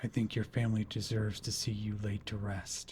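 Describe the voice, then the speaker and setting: A man's put-on character voice, fairly low and monotone with flat intonation, at a fairly quick pace over clear background noise. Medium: audio drama. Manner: cold and intense, cracking into grief.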